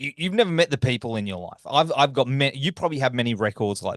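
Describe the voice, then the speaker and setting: A man with an Australian accent talks at a fairly quick pace in a fairly high pitch, making very wide pitch swings. The sound is dry and close with no echo, and the background is quiet. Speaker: podcast host, interviewer. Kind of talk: interview.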